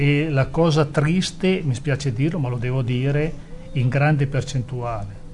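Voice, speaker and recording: With an unremarkable speaking voice, a man talks at a fairly slow pace, using a fairly high pitch and ordinary pitch variation. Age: 60s. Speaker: former footballer and sporting director. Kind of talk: interview. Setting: studio.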